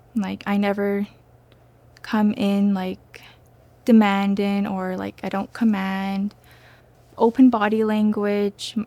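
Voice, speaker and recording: The voice is soft-spoken, with a dark, mellow tone and monotone, flat intonation. It moves at a very slow pace, broken by long, frequent pauses. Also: woman, medium pitch for a woman. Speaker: nursing student. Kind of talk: testimony. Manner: hesitant, with fillers.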